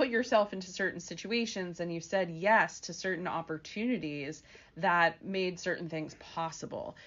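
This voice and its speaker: An unremarkable speaking voice from a woman, medium in pitch with ordinary pitch variation. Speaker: career coach and podcast host. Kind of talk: interview. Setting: radio studio.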